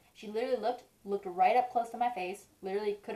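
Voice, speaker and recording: Mumbling very fast, a woman talks at a fairly high pitch with lively intonation over noticeable background noise. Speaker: beauty vlogger. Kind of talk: makeup tutorial. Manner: mumbling, stuttering; casual, chatty.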